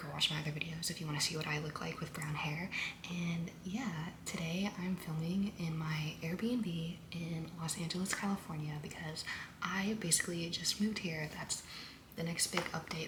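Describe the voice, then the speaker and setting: A quiet woman with an American accent, fairly low in pitch, at a moderate pace with fairly even intonation, amid noticeable background noise and audible room echo. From US South, Louisiana. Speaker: podcaster. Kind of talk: casual monologue vlog. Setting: Airbnb room. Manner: quiet, low volume.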